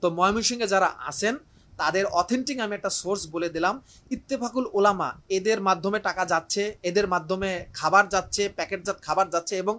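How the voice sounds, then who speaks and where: A man speaks in a raised, projected voice, high in pitch with a bright, sharp tone. His pitch varies in an ordinary way over a very clean recording with a silent background. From Barishal, Bangladesh. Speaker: teacher. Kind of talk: live appeal. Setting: room in his home, live stream.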